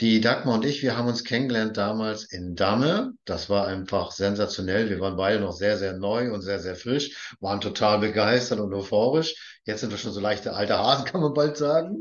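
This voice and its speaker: A man's unremarkable speaking voice moves at a moderate pace with hardly any pauses and ordinary pitch variation. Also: fairly low pitch for a man. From northern Germany, Baltic coast. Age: 50s. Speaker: podcast host. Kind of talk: interview.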